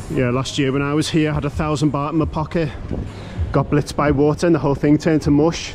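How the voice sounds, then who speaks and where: Very fast and in a monotone, flat intonation, a man with a British accent and a fairly high pitch speaks over light background noise. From Britain. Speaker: travel vlogger. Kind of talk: walkthrough vlog. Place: street. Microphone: phone near.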